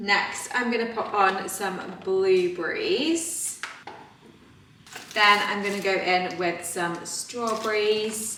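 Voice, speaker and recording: A woman at a very slow pace amid audible room echo and noticeable background noise. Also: medium pitch for a woman, ordinary pitch variation. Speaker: fitness vlogger. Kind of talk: casual vlog narration. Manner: soft-spoken.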